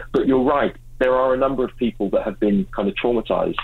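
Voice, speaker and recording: With an English accent, a man speaks at a fairly quick pace. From England. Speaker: mental health ministry leader. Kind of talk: interview. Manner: halting with repeated words.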